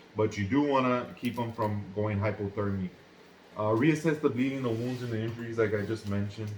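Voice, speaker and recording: A man speaks at a medium pitch and a fairly quick pace, his intonation fairly even. Noticeable background noise runs underneath. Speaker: first aid instructor. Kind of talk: tutorial. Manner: fast.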